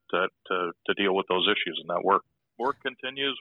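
Here a man is speaking. His pace is moderate. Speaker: pilot union chairman. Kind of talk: casual interview. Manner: casual, friendly.

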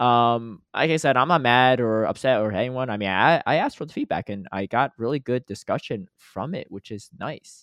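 An unremarkable speaking voice from a man at medium pitch, moving at a moderate pace with hardly any pauses, ordinary pitch variation and big swings in loudness. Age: 30s. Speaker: podcast host. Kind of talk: casual chat.

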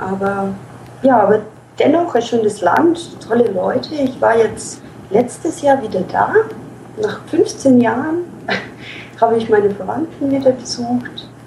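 The delivery is fairly slow, with lively intonation and long, frequent pauses. Noticeable background noise sits behind the voice. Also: woman, fairly high pitch for a woman. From Ukraine. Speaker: SEO manager. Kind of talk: interview.

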